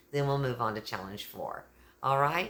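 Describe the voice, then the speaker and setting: An animated woman with an American accent speaks in a very deep, low pitch with lively intonation. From Texas. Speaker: YouTuber, kindness channel host. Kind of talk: casual vlog talk.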